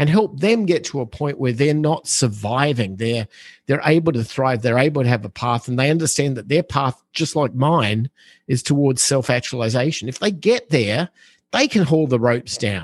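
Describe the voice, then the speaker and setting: Over a quiet background, a man with an unremarkable speaking voice talks at a moderate pace and medium pitch with lively intonation. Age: 50s. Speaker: real estate investor. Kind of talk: interview.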